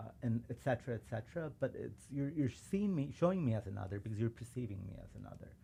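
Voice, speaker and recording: Very fast and lively, a man with a Chicago accent speaks at medium pitch in a dark, mellow, somewhat breathy tone. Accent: Chicago American English. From suburban Chicago. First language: Urdu. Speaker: civil rights lawyer. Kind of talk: casual chat.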